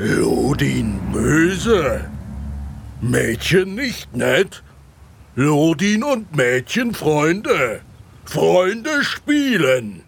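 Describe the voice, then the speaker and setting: Putting on a character voice, a man talks fairly high and very slowly, with long, frequent pauses. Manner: broken speech, talks about himself in third person.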